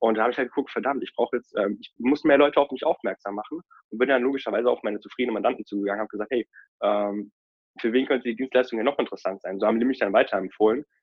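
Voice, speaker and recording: A man at medium pitch and a very fast pace. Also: ordinary pitch variation. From Rhineland, Germany. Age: 20s. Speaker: financial advisor. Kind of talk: interview.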